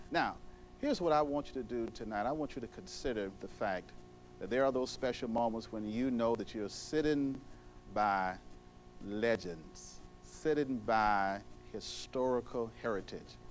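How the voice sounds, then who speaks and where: A man speaking at a fairly slow pace, music playing in the background. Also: medium pitch for a man, ordinary pitch variation. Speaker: TV talk show host. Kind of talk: TV show introduction.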